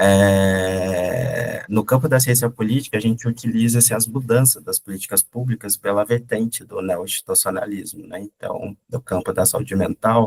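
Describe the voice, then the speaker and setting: A man speaks at medium pitch in a somewhat breathy voice with fairly even intonation. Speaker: doctoral researcher presenting at a conference. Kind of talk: academic presentation. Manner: hesitant, many fillers.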